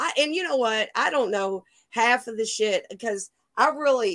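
A woman with a fairly high pitch and a fairly bright tone talks at a moderate pace with lively intonation, her sound dry and close with no echo.

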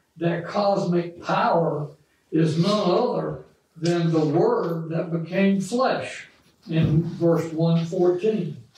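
Very slowly and with fairly even intonation, a man speaks at a high pitch, with audible room echo and light background noise. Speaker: bible study teacher. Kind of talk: lecture. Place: classroom.

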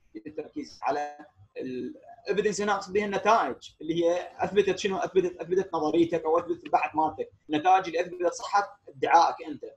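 Music plays in the background as the voice moves at a fairly quick pace with hardly any pauses and ordinary pitch variation. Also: man, high pitch for a man. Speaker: engineering lecturer. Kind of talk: online lecture. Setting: video call.

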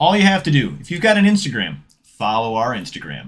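Vocal fry runs through this man's speech. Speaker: card-opening channel host. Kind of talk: casual giveaway announcement. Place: home room. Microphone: studio mic.

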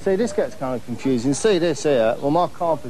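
Light background noise under a man's fairly quick speech. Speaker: TV presenter. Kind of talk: comic monologue to camera.

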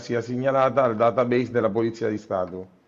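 Fairly even intonation runs through this man's speech. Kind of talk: interview answer. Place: office. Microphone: earbuds.

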